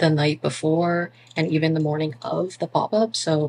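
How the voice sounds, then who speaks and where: Intonation stays fairly even at a moderate pace. Light background noise can be heard. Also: woman. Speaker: small business owner vlogger. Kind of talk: casual vlog chat. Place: home room. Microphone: phone near.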